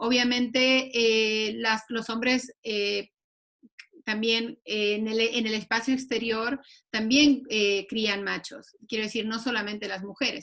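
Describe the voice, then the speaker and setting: A woman speaks at a very slow pace in a fairly high pitch. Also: fairly even intonation. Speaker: panelist on gender and masculinities. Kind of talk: online panel discussion.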